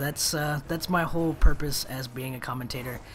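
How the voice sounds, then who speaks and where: A man delivers his words at a moderate speed amid noticeable background noise and audible room echo. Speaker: gaming commentator. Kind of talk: gameplay commentary monologue. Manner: monotone when in pain; trying to be animated.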